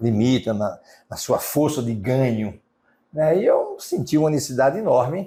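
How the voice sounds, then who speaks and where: A man's fairly high, somewhat breathy voice with a dark, mellow tone, lively intonation, a fairly slow pace and long, frequent pauses. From Brazil, Sergipe (Aracaju). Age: 60s. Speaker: real estate businessman. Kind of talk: interview. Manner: hesitant, with fillers.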